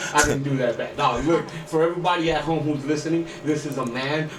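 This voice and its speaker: A man talks at a fairly quick pace in an animated tone, with noticeable background noise behind him. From Guatemala. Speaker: boxing podcast host. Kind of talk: podcast interview. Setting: radio studio. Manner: animated, hype.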